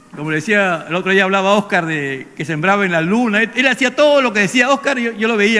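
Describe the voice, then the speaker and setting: A man talks at a very fast pace in a raised, projected voice. His pitch is high, with ordinary variation. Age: 70s. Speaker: pastor. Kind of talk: sermon.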